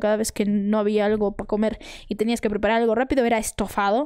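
An animated tone at a very fast pace against a quiet background. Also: woman. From Peru, Arequipa; Peru. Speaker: content creator. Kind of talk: casual chat. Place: home room. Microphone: studio mic.

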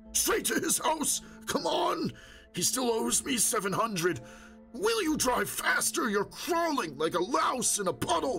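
A man puts on a character voice at an extremely high pitch, with very wide pitch swings and a fairly slow pace. Clear music plays in the background. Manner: ranting, angry.

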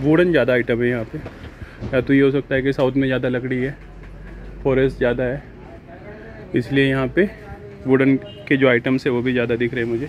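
A man at a moderate pace with monotone, flat intonation and long, frequent pauses, a dry sound with no echo, and music in the background. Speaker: travel vlogger. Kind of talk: casual vlog chat. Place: shop. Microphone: phone near.

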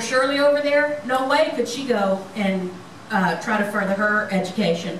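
Moderate pace and ordinary pitch variation, with light background noise and audible room echo. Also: woman. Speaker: lay preacher. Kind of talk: sermon. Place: church.

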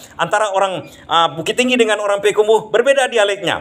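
A man speaks with a Minangkabau accent. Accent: Minangkabau-accented Indonesian. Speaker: vlogger explaining Minang dialects. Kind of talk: casual explanatory monologue. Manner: halting, with many fillers. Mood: cheerful, smiling, relaxed. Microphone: phone near.

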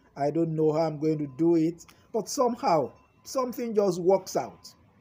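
Music plays in the background as a man with a high pitch talks at a moderate pace. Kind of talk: sermon. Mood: warm, encouraging, smiling. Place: garden. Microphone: phone near.

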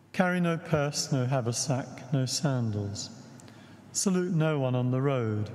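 A man with a British accent, very even loudness, and ordinary pitch variation. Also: fairly slow pace. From England. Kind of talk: liturgy and homily. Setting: church. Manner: formal. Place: church.

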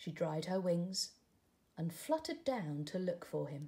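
A woman speaks at a fairly slow pace with a fairly low pitch. Her tone is dark and mellow, and her pitch swings widely.

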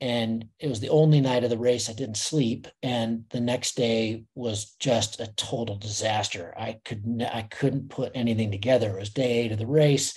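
Against a quiet background, a man speaks at a moderate pace with hardly any pauses, fairly even intonation and a somewhat breathy sound. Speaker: race organizer and webinar host; webinar host. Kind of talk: casual chat. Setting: video call. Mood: relaxed, reflective. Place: home room.

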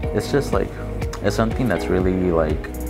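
Through loud background noise, a man talks at a fairly slow pace. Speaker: university student. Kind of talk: interview answer. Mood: earnest, determined.

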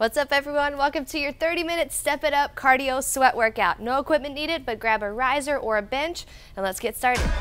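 Over music in the background, a woman speaks at a high pitch and a fairly quick pace with ordinary pitch variation. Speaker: fitness instructor. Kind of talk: workout instruction. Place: studio. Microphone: lapel.

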